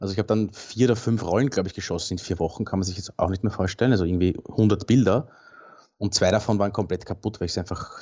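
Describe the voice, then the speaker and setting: A man with a fairly low pitch talks at a very fast pace, his pitch varying in an ordinary way. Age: 40s. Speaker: landscape and commercial photographer. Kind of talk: casual interview.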